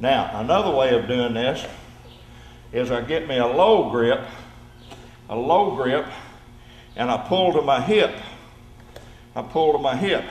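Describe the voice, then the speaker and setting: A man with a Southern US accent and fairly high pitch, lively in intonation, fairly slow with long, frequent pauses, amid audible room echo and noticeable background noise. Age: 70s. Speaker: judo instructor. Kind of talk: tutorial. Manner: repetitive, demonstrative.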